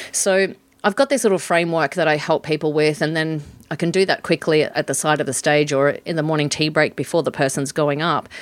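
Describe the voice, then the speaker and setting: A woman with an Australian accent, very deep and low in pitch, quick-ish in pace, with fairly even intonation and very even loudness, on a very clean recording with a silent background. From Western Australia. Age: 50s. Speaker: professional MC and facilitator. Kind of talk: interview.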